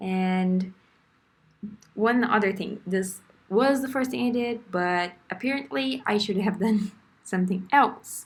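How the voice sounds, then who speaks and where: In a somewhat breathy voice with a non-native accent, the speaker goes at a fairly slow pace with long, frequent pauses and ordinary pitch variation. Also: woman, medium pitch for a woman. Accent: foreign. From Brazil. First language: Portuguese. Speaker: beginner artist vlogger. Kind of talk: casual tutorial voiceover. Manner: hesitant, with fillers.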